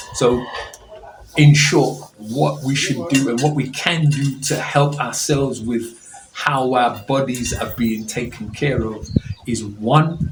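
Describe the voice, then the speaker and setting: Over music in the background and audible room echo, a man with a medium-pitched voice talks very slowly with ordinary pitch variation. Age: 60s. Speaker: pastor giving a health talk. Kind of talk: health talk to an audience.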